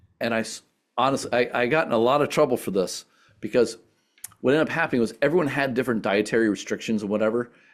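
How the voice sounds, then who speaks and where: Speaking at a very fast pace, the man has a medium pitch with ordinary pitch variation. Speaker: sustainability entrepreneur and speaker. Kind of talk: presentation Q&A.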